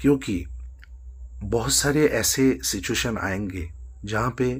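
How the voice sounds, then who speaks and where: A very clean recording has a silent background. Vocal fry runs through the voice. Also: man. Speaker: singer and music student. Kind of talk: motivational talk to camera. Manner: hesitant, with fillers.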